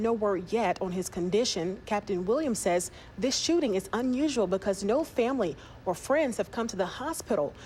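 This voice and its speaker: In an ordinary speaking voice, a woman talks at a fairly quick pace in a fairly high pitch with lively intonation. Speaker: news anchor. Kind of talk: TV news anchoring. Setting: studio.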